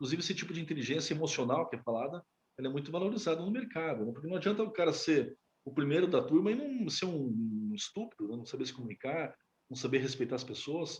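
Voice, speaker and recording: A man speaks at a very fast pace in a fairly high voice. His pitch swings very widely. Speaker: educator teaching a class. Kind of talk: lecture. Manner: halting, with many fillers.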